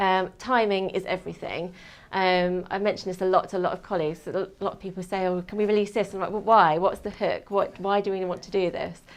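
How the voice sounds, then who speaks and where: A woman in a southern English accent speaks very fast at a medium pitch in a flat monotone against a quiet background. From England, Kent. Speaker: PR and media manager, former journalist. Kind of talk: talk to an audience. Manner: hesitant, many fillers.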